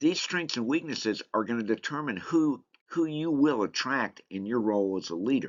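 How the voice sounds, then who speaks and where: Speaking with a Southern US accent, a man uses lively intonation at a moderate pace. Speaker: leadership course instructor. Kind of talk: online course lecture. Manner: casual, conversational.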